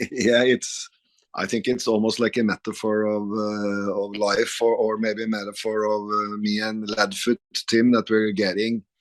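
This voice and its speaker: A man with a Norwegian accent, fairly low pitch, monotone, flat intonation and moderate pace, in a dry, close sound with no echo. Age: 50s. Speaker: rock guitarist. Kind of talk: interview. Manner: halting.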